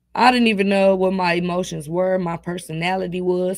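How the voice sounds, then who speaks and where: Here a woman speaks at a fairly quick pace. Her voice sits at a medium pitch. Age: student, about to graduate. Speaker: pastor and nonprofit founder. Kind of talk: interview. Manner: animated, voice rises when passionate.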